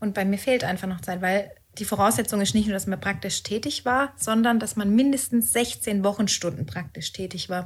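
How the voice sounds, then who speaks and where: Somewhat breathy, a woman talks at medium pitch and a moderate pace with ordinary pitch variation. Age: 30s. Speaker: tax professional preparing for exam. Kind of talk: casual podcast chat.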